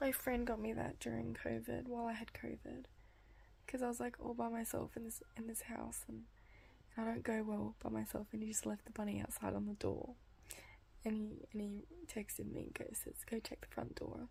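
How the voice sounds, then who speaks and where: This woman talks fairly quickly in an Australian accent. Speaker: vlogger. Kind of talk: casual video diary. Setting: at home at night; hospital ward.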